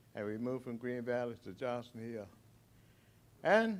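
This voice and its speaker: Pitched at a medium level, a man's voice shows ordinary pitch variation. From Arlington, Virginia. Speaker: former resident sharing memories. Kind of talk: testimony.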